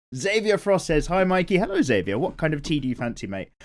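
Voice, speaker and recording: With a British accent, a man talks at a moderate pace using very wide pitch swings. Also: very clean recording, silent background. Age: 30s. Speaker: art YouTuber. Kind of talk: casual chat while drawing. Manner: casual, relaxed.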